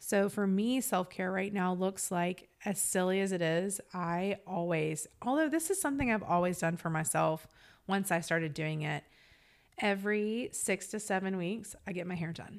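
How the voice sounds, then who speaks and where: This woman has an ordinary speaking voice, medium in pitch with ordinary variation, and she speaks at a moderate pace. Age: 40s. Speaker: podcast co-host and small business owner. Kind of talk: casual chat.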